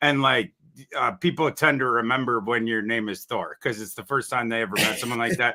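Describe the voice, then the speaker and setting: Talking at a fairly quick pace, a man with a Minnesotan accent shows ordinary pitch variation. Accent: Minnesota. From northern Minnesota (Brainerd). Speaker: NFL draft analyst. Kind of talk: casual interview chat. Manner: halting, repeats words.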